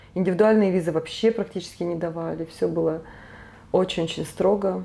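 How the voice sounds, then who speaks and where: A woman speaks at a fairly low pitch with a dark, mellow tone. Her pace is fairly quick and her intonation fairly even. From Siberia, Krasnoyarsk. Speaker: tour guide. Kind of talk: casual interview chat.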